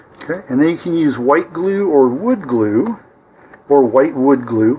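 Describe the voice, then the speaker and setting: A man at a fairly high pitch, fairly slow pace and calm tone, with lively intonation over noticeable background noise. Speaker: model rocket builder. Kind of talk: tutorial. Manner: calm, step-by-step.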